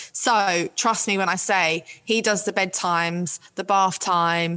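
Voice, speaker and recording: The speaker is a woman. She talks with a London accent. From West London. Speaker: author and make-up artist. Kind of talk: casual chat.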